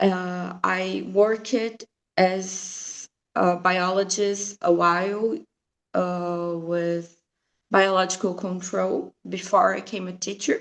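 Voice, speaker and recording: A woman with a Brazilian Portuguese accent, medium pitch and a very slow pace. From Brazil, Mato Grosso do Sul. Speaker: science teacher. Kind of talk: presentation at online teacher training. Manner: hesitant, many fillers.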